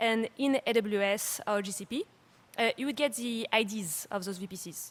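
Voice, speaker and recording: A fairly high-pitched woman with a French accent, somewhat breathy, at a moderate pace, with ordinary pitch variation and big swings in loudness. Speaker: startup CEO and conference speaker. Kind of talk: conference talk. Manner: hesitant, many fillers.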